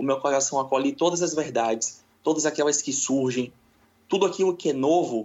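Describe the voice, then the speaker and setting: This man has a normal speaking voice pitched fairly high. He keeps a moderate pace with ordinary pitch variation. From Brazil, Salvador, Bahia. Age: 20s. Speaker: spiritualist. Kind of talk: interview.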